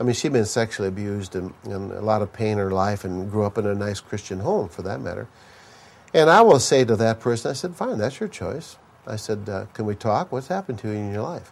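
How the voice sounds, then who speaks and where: A man uses a normal speaking voice at a fairly quick pace. His pitch is fairly low. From US Midwest, Minnesota. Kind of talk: sermon. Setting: conference stage with audience.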